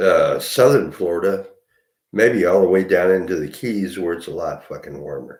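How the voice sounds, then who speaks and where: A man speaks with audible room echo. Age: 60s. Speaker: vlogger. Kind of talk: casual monologue. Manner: halting.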